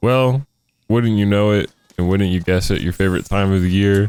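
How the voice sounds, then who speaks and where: A soft-spoken man talks at a fairly quick pace in a fairly low voice. Music plays in the background. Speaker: YouTuber talking about video games. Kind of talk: casual gaming monologue. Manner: rambling, halting.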